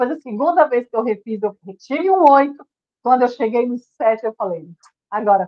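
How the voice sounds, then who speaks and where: Lively in intonation and high in pitch, a woman speaks at a moderate pace with big swings in loudness. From Brazil, Federal District. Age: 60s. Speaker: weight-loss program participant. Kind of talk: testimony. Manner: emotional, earnest.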